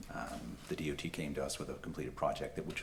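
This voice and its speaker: There is audible room echo around the recording. A man talks at a very fast pace. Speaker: political candidate. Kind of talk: candidate forum speech. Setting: public forum with audience and microphone. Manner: halting, many fillers.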